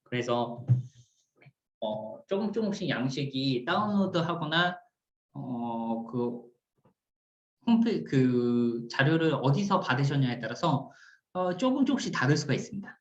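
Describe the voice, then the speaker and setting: With very wide pitch swings, a man talks at a very slow pace, pausing long and often, in a room with audible echo. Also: fairly high pitch for a man. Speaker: cooperative support team leader, instructor. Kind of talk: recorded lecture.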